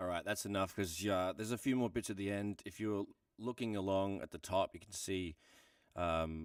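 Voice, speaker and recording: With an Australian accent, a man at a fairly low pitch talks at a moderate pace and with fairly even intonation on a very clean recording with a silent background. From Australia, Melbourne. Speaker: music producer. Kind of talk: tutorial. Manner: casual, relaxed.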